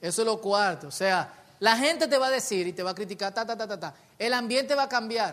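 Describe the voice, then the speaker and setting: His raised, projected voice is high for a man, bright and sharp in tone, with lively intonation. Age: 30s. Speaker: pastor. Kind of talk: sermon.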